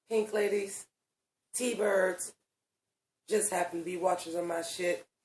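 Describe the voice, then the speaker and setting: At a fairly slow pace, a woman speaks with a medium pitch and flat, monotone intonation. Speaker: online video reviewer. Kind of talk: casual review vlog.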